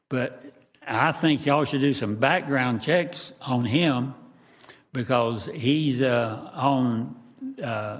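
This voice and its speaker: Audible room echo surrounds a man with a Southern US accent. His medium-pitched voice moves at a very slow pace. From Jacksonville, Florida. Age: 80s+. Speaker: resident speaking at public hearing. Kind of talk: public comment. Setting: council meeting. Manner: halting.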